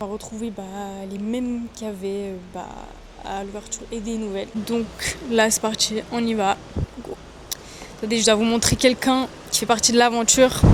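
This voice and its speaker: Against noticeable background noise, a woman with a fairly high pitch speaks at a moderate pace in a monotone, flat way, with big swings in loudness and long, frequent pauses. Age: 20s. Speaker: dancer. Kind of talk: casual vlog talk to camera.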